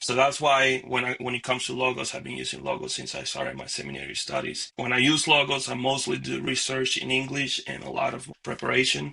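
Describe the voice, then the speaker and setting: With noticeable background noise behind him, a man speaks in a Spanish accent. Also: hardly any pauses. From Dominican Republic. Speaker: minister and seminary student. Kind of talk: interview and software tutorial.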